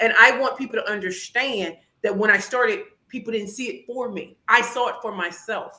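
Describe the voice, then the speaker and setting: Speaking at a moderate pace with an American accent, a woman sounds animated, her loudness swinging widely. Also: fairly high pitch for a woman, ordinary pitch variation. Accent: St. Louis accent tinged by Atlanta and DC. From St. Louis, Missouri. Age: 40s. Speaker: pitch coach and business founder. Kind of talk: podcast interview with demonstration pitches.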